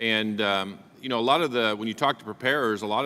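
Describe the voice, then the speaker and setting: In an Oklahoma accent, a man speaks with a bright, sharp tone and fairly even intonation on a very clean recording with a silent background. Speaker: congressman. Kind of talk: congressional hearing questioning. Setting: committee hearing room.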